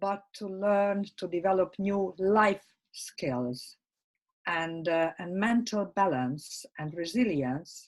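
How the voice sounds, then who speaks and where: A woman talks at a very slow pace. Her medium-pitched voice has lively intonation. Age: 60s. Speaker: life skills workshop speaker. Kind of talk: interview. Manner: halting, many fillers.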